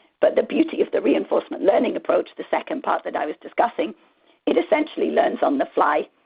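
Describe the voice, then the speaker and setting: Squeaky and at a very fast pace, a woman rattles through her words. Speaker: marketing analytics expert. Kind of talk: conference presentation with Q&A. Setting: virtual conference.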